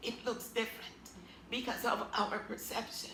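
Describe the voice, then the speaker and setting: With noticeable background noise and audible echo from the room, a woman's speech moves at a fairly slow pace. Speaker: author and abuse survivor. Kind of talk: interview. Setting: TV interview.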